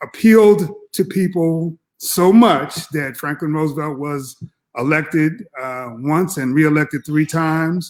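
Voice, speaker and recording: A man talks in an ordinary speaking voice, fairly high in pitch with ordinary pitch variation. His pace is fairly slow, on a very clean recording with a silent background. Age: 60s. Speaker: professor. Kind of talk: political discussion.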